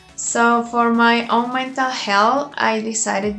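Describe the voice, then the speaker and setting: A woman's voice with a Colombian accent and fairly even intonation, with audible room echo and noticeable background noise. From Colombia (Bogota). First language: Spanish. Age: 20s. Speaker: vlogger. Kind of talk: personal vlog introduction.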